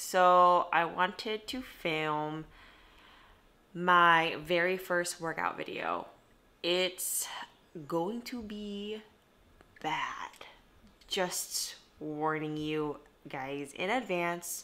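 The woman speaks very slowly, with long, frequent pauses and a fairly low pitch. Her pitch varies in an ordinary way, while her loudness swings a lot. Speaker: vlogger. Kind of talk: casual vlog chat. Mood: shy, self-deprecating. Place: home room. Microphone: phone near.

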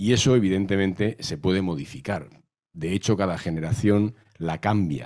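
The background stays quiet. The man's pitch is very deep and low. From Madrid, Spain; Spain. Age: 60s. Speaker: novelist and historian; guest. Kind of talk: panel talk. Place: hall. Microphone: handheld.

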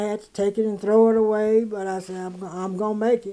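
A woman with an American accent talks very fast in a fairly high pitch, her intonation flat and monotone. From Mississippi. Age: 80s+. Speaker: home cook and caramel spread maker. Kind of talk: interview answer. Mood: emotional, near tears. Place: home room.

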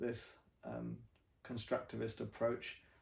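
Heard at a moderate pace, a man with a medium pitch comes through with audible room echo and light background noise. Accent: English. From England. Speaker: professor. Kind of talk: interview. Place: home room. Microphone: camera far.

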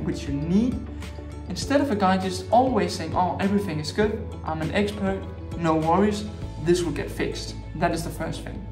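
With clear music in the background, a man speaks at a moderate pace, leaving long, frequent pauses. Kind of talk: advice talk to camera. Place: home room.

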